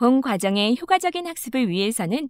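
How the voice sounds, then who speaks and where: A woman's high voice at a moderate pace with very wide pitch swings, dry and close with no echo, on a very clean recording with a silent background. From South Korea. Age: 20s. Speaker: voice actor. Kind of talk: e-learning narration.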